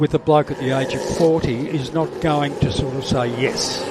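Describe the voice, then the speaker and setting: This man speaks with an Australian accent at a fairly high pitch and a fairly slow pace. His intonation stays fairly even against noticeable background noise. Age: 70s. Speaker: cancer awareness advocate and former commentator. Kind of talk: casual interview. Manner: halting.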